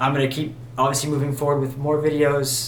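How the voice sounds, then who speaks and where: Mumbling at a medium pitch, a man is heard through audible room echo and noticeable background noise. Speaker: musician vlogger. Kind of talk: casual vlog monologue. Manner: halting, many fillers.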